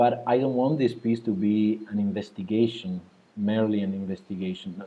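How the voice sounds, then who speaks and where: Speaking at a moderate pace with a non-native accent, a man uses a fairly low pitch and fairly even intonation. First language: not English. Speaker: composer. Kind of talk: interview. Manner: halting, many repetitions.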